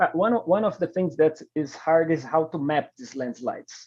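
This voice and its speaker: Speaking in a non-native accent at a moderate pace, a man with a high pitch shows ordinary pitch variation and a dark, mellow tone. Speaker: scientific researcher presenting a paper. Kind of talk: Q&A discussion; conference presentation. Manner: halting.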